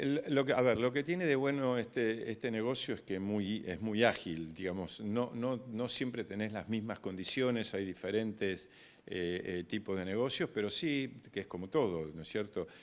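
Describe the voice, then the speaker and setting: On a very clean recording with a silent background, a man with a fairly low pitch speaks at a moderate pace with hardly any pauses. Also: ordinary pitch variation. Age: 60s. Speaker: grain broker. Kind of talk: interview. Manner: hesitant, many fillers and repetitions.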